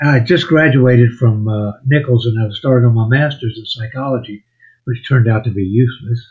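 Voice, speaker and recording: A man talks at a fairly quick pace, his voice somewhat breathy. His intonation stays fairly even. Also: medium pitch for a man. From Louisiana. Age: 70s. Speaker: songwriter and musician. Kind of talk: podcast interview.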